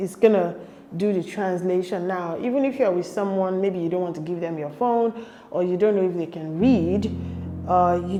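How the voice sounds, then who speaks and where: A woman speaks at a moderate pace with medium pitch and ordinary pitch variation. Noticeable background noise runs beneath her voice. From Nigeria. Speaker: YouTuber. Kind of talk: casual vlog advice. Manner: chatty, conversational.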